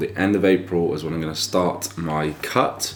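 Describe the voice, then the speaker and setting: In an English accent, a man speaks at a very deep, low pitch. His pace is moderate and his intonation fairly even, with noticeable background noise. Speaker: fitness vlogger. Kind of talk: casual vlog. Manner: speaking quietly.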